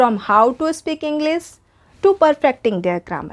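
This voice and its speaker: Speech with an Indian accent comes at a fairly slow pace. The intonation is lively. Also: woman, dry, close sound with no echo. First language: Hindi. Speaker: English teacher. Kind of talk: tutorial.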